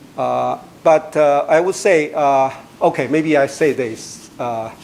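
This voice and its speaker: A man at a very slow pace, fairly high-pitched, with ordinary pitch variation and noticeable background noise. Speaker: mathematics researcher giving a talk. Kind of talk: lecture. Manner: halting, many fillers.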